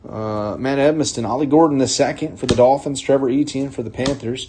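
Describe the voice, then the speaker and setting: A man with an American accent speaks in a dark, mellow tone at a fairly high pitch. His voice is somewhat breathy. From North Carolina. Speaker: card break host. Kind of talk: live card break commentary. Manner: whispering.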